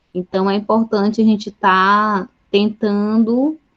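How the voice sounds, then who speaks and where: A woman's plain, everyday voice at a medium pitch, with fairly even intonation. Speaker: chemistry teacher. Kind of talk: online Q&A session with students.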